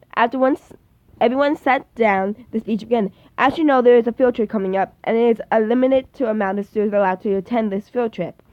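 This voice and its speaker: A woman talks at a very fast pace. Her fairly high pitch shows ordinary variation. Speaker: amateur book reader / YouTuber. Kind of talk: fan fiction reading. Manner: halting, stumbling over words.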